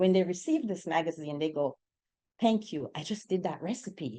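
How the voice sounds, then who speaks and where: In a Jamaican accent, a woman's dark, mellow voice moves through very wide pitch swings. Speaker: real estate agent. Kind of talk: panel discussion.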